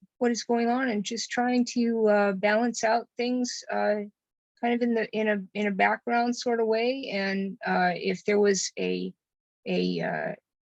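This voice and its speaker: With an American accent, a woman speaks fairly slowly at a fairly high pitch and fairly even intonation, the sound dry and close with no echo. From Moscow, Idaho, US. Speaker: mayoral candidate. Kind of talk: candidate forum answer. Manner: halting, many fillers.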